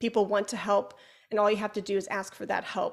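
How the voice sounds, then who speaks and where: A woman with a slight Chicago accent speaks in an animated tone at a fairly high pitch. The recording is very clean, with a silent background. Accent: Chicago accent, slight to moderate. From Chicago, US Midwest. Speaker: flutist, educator and podcaster. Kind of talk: interview conversation. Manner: talkative, animated.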